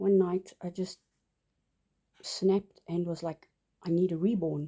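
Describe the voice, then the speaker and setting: A dark, mellow voice in a South African accent, at a very slow pace. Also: woman. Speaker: doll collector vlogger. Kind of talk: casual show-and-tell vlog. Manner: halting, many fillers.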